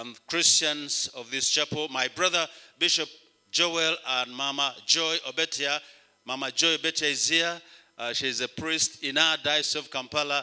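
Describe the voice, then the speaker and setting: Against a quiet background, a bright, sharp voice moves at a moderate pace with fairly even intonation. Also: man. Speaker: bishop preaching. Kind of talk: sermon. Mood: warm, grateful. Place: church. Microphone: handheld.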